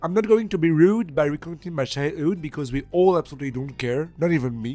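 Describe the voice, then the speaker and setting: Talking at a very fast pace, a man with a French accent has a dark, mellow tone and a fairly high pitch. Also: ordinary pitch variation. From France, Charente-Maritime. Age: 20s. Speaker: engineering student. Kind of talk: video resume, scripted self-presentation.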